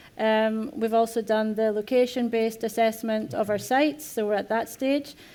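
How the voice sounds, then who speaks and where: A woman with a Scottish accent speaks at a fairly quick pace with fairly even intonation. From Scotland. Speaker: corporate sustainability head. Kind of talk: panel discussion. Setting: conference stage with audience.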